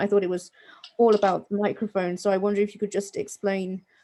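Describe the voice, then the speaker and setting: With a dark, mellow tone at medium pitch, a woman speaks in a monotone, flat intonation. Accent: British. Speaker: workshop participant. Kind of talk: question in workshop.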